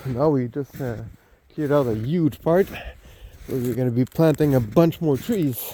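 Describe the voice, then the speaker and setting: Noticeable background noise runs behind a man talking. His pitch is medium and his pace fairly slow. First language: French. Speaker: homesteader. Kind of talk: casual walking tour vlog. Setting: outdoors. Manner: halting, many fillers.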